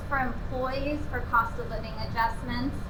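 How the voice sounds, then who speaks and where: Over noticeable background noise and audible room echo, a woman speaks in a raised, projected voice at a moderate pace. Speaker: city manager. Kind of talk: public presentation. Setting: community center meeting with audience. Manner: frequent filler ums. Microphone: no microphone.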